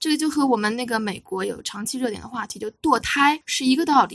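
A woman speaks in a high voice with ordinary pitch variation. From China, Wuxi. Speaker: film critic and Chinese teacher. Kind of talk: casual film discussion.

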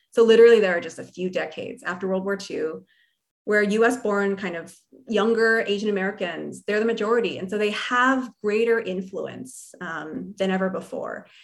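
Here is a woman with a normal speaking voice. She talks at a moderate pace and a medium pitch. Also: ordinary pitch variation. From New Jersey, US. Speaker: history professor and author. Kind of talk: interview conversation. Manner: casual with frequent fillers.

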